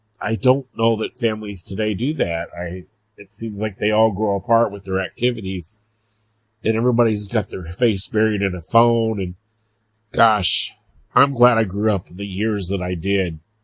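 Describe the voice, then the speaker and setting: A man in a plain, everyday voice, fairly low in pitch with fairly even intonation at a moderate pace, with a dry, close sound with no echo on a very clean recording with a silent background. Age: 50s. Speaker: podcast host. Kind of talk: casual monologue.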